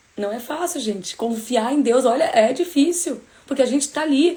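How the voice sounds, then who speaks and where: A woman's high, animated voice at a moderate pace, with ordinary pitch variation and noticeable background noise. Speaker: bible study teacher. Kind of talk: casual livestream bible study talk. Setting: live stream.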